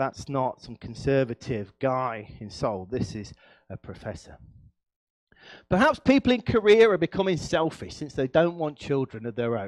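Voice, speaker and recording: A man talks at a moderate pace in an animated tone, his medium pitch making very wide swings and his loudness shifting greatly. The sound is dry and close with no echo, against a quiet background. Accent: East Midlands. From English East Midlands, Nottinghamshire. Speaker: professor. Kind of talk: lecture.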